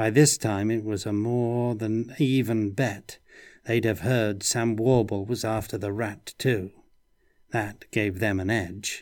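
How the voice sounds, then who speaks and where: In a plain, everyday voice, a man speaks at a fairly slow pace with fairly even intonation and fairly low pitch, on a very clean recording with a silent background. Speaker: narrator reading aloud. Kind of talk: audiobook narration of noir fantasy, read aloud. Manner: moody, dry noir-style delivery with character voices.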